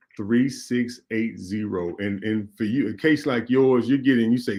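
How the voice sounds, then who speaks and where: A man with a Mississippi accent and a dark, mellow tone speaks at a fairly slow pace. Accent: US Southern (Mississippi). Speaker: radio talk show host and state legislator. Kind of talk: call-in talk show and campaign appeal.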